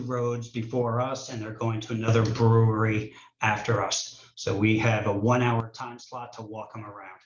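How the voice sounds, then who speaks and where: A man talks at a moderate pace and medium pitch, somewhat breathy and in a monotone, flat intonation. His loudness swings widely, and room echo is audible. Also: hardly any pauses. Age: 60s. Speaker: distillery owner. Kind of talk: hearing testimony.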